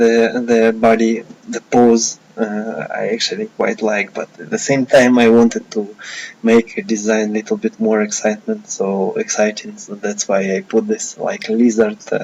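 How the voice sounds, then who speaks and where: The man speaks at a fairly slow pace. Light background noise can be heard. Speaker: digital artist. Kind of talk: tutorial. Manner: slow, hesitant with many fillers. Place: home room.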